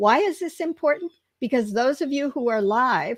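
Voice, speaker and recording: Here a woman has an unremarkable speaking voice with lively intonation at a moderate pace. The sound is dry and close, with no echo. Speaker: career mentor, live stream co-host. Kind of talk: live stream Q&A introduction. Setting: LinkedIn Live video stream.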